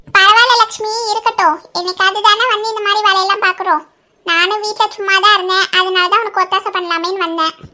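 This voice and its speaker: A woman does a cartoonish character voice at an extremely high pitch. Her intonation stays fairly even at a moderate pace. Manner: blunt, bossy.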